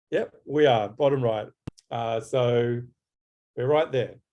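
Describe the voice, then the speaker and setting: A man's medium-pitched voice, dark and mellow in tone, with ordinary pitch variation and a very slow pace. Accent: Australian. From Australia. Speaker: graphic designer. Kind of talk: webinar presentation. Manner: halting.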